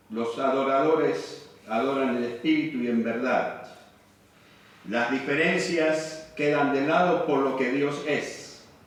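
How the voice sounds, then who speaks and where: Speaking at a very slow pace, a man uses a fairly high pitch and fairly even intonation. The room echo is audible, and there is noticeable background noise. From Argentina, Buenos Aires area. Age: 60s. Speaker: missionary preacher. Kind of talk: sermon.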